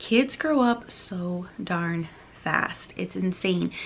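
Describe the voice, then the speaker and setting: Her intonation lively, a woman speaks over noticeable background noise. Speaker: teacher and course creator. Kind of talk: product explainer video. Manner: animated.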